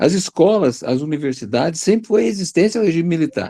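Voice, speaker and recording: A man's dark, mellow voice moves at a fairly quick pace, in a dry, close sound with no echo. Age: 60s. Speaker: retired biology teacher. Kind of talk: panel discussion. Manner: animated.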